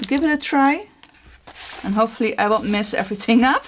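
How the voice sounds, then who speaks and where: There is noticeable background noise under this recording. A woman speaks with lively intonation. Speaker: art journaling creator. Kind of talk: tutorial. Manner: casual, chatty with filler words.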